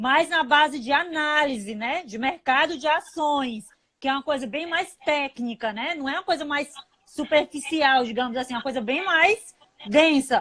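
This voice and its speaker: At a fairly slow pace, a woman speaks in a high, sing-song voice. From Fortaleza, northeastern Brazil. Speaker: investment analyst and channel host. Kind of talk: casual chat. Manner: sing-song intonation.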